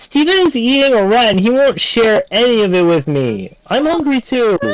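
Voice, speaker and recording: Doing a put-on character voice, a man shouts at an extremely high pitch and a moderate pace, his pitch swinging very widely. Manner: yelling quickly, urgent.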